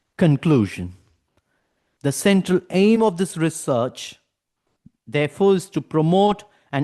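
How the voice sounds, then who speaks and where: In a Tamil accent, a man speaks at a high pitch with a dark, mellow tone and lively intonation. His pace is moderate, and the sound is dry and close with no echo over a quiet background. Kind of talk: academic lecture. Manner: formal.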